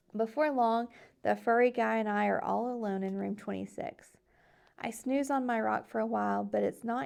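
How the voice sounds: What you hear is a natural reading voice.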